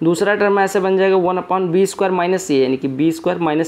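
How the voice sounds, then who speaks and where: A man talks with fairly even intonation as noticeable background noise carries on behind him. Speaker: maths teacher. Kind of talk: tutorial. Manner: soft-spoken.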